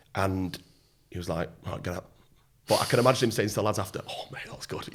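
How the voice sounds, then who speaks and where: Speaking very fast with a British accent, a man keeps his intonation fairly even while his loudness swings widely. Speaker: former Royal Marine, entrepreneur and mentor. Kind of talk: podcast interview answer. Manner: casual, conversational.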